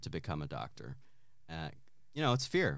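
This man has a very deep, low voice. He talks with an American accent. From southwest Virginia, US. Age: 40s. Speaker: actor and new stand-up comic. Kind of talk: casual interview chat. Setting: studio, basement recording.

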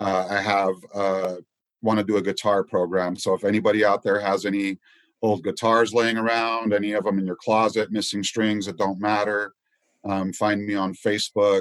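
With an American accent and monotone, flat intonation, a man speaks at a moderate pace and fairly low pitch, in a dry, close sound with no echo against a quiet background. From New York City, then Ogden, Utah from age nine or ten. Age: 50s. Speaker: community activist, army veteran. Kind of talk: podcast interview.

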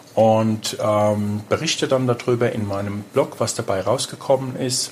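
Over noticeable background noise, a man at medium pitch talks at a fairly slow pace. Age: 50s. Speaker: personal trainer and energy consultant. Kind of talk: interview. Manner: halting, many fillers.

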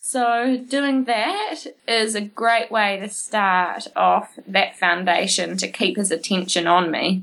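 A woman speaks in a New Zealand accent at a very slow pace, with hardly any pauses. Her pitch is medium, with ordinary variation. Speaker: horse trainer. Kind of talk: interview.

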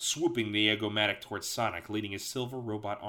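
Text read out in a natural voice.

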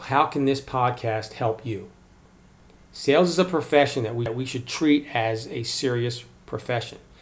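Somewhat breathy, a man with an American accent talks at a moderate pace, with a medium pitch and ordinary pitch variation. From Maryland, US. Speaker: sales podcast host. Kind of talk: solo podcast monologue.

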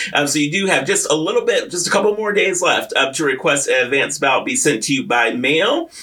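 A man talks at a very fast pace with hardly any pauses, his high voice carrying lively intonation. Noticeable background noise runs underneath. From US, military brat (moved around). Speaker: radio host. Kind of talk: casual chat. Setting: radio studio. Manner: animated.

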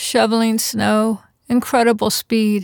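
Recorded very cleanly against a silent background, with a dry, close sound and no echo, a woman speaks very slowly. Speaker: podcast host and quilt fiction writer. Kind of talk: reading aloud a short story and interview.

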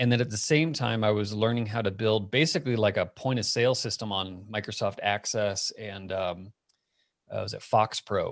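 Set against a silent background on a very clean recording, an unremarkable speaking voice moves at a moderate pace with ordinary pitch variation. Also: man, fairly low pitch for a man. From US Southwest (Phoenix, Arizona). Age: 40s. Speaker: tech company founder. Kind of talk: casual interview chat.

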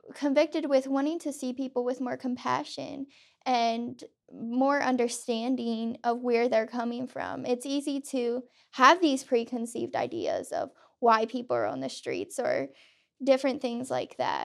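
Recorded very cleanly with a silent background, a woman with an American accent speaks in a high pitch at a moderate pace with fairly even intonation. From Pennsylvania. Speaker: student. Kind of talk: casual chat.

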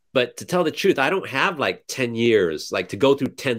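A man with an American accent, medium in pitch, his voice swinging very widely up and down. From California. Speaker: small-scale farmer and blogger. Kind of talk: casual interview. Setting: video call. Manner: halting, many fillers.

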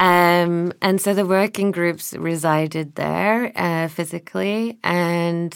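On a very clean recording with a silent background, a woman talks very slowly. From northern England. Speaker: artist and critic. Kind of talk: interview conversation. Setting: studio. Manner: hesitant, many fillers.

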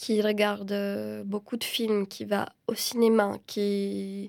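In a very clean recording with a silent background, a woman with a Romanian accent speaks at a very slow pace. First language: Romanian (speaking French). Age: 30s. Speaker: film director and screenwriter. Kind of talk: interview. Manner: halting, many repetitions and fillers.

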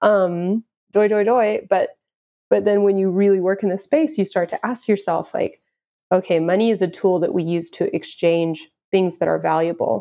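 A woman with an American accent speaks at a moderate pace in an ordinary speaking voice. Her pitch is medium, with ordinary pitch variation. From Houston, Texas. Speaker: crypto marketing manager. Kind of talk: casual interview.

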